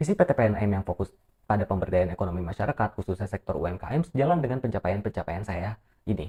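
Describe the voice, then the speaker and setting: A man talks very fast at a fairly low pitch, his tone dark and mellow and somewhat breathy, with lively intonation. The sound is dry and close, with no echo. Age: 20s. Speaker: university student. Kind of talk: self-introduction video, read script. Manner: formal.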